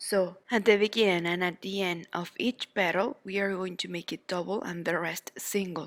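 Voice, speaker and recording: A woman with a Spanish accent speaks at a fairly slow pace and medium pitch, with ordinary pitch variation, in a dry, close sound with no echo on a very clean recording with a silent background. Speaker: crochet teacher. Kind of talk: tutorial. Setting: at home.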